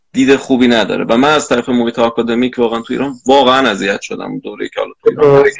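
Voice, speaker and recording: At a very fast pace, a man speaks at a medium pitch with fairly even intonation. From Iran. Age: 20s. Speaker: arachnologist. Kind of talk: casual interview.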